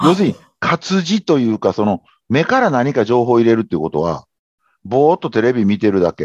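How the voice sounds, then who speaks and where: A man speaks at a fairly quick pace and a medium pitch, his voice swinging very widely up and down, over a quiet background. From Japan, Kobe (Kansai). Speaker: habit-formation consultant. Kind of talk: interview conversation.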